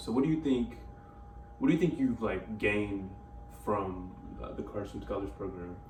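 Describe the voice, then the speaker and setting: A man at a moderate pace with fairly low pitch, in audible room echo. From Louisiana (Lake Charles). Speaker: college student interviewer. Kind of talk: casual interview.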